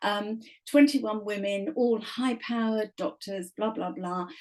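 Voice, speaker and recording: Someone with an English accent speaks at a fairly slow pace. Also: woman. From England. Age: 70s. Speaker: author. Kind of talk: podcast interview.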